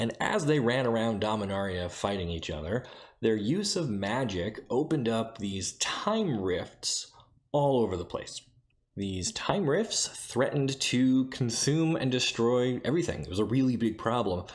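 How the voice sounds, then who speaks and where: This soft-spoken man has a medium pitch and lively intonation. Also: moderate pace. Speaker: YouTube lore channel host. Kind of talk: casual lore explainer. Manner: soft-spoken, keeping voice down.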